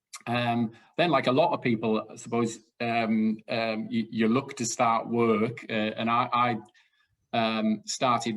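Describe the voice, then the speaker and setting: In a Welsh accent, a man talks fairly slowly with flat, monotone intonation. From South Wales. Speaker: retiring sports organisation director. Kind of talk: casual interview chat. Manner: hesitant, many fillers.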